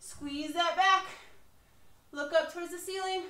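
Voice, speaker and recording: A woman's raised, projected voice, bright and sharp in tone, at a very slow pace with ordinary pitch variation, amid audible room echo. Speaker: fitness instructor. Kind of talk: workout instruction. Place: garage. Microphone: camera far.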